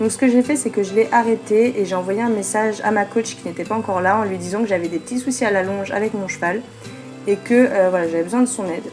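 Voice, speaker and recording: Over music in the background, a woman speaks very fast at medium pitch with ordinary pitch variation. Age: 20s. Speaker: equestrian vlogger. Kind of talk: voice-over narration. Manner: hesitant, many fillers.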